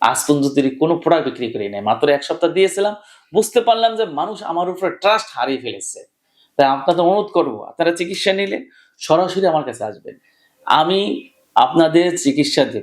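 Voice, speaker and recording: A man with a high pitch and lively intonation. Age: 40s. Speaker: homeopathic doctor. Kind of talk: direct-to-camera appeal. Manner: emphatic.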